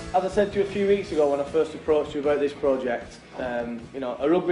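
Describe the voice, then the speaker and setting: Over music in the background, a man with a fairly high pitch talks at a very fast pace. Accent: Lancashire. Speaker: professional rugby league player. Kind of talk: guided tour for school pupils. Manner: hesitant, many repeated words.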